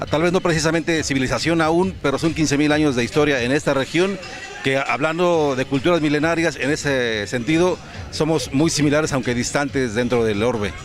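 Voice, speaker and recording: A man talks at a fairly quick pace, his voice pitched fairly high with ordinary pitch variation. His loudness stays very even, and music plays in the background. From Mexico. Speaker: interviewer. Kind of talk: interview.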